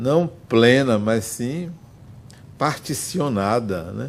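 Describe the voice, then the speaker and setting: A man's medium-pitched voice with lively intonation, a very slow pace, and audible room echo. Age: 60s. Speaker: spiritist speaker and psychologist. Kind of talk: lecture.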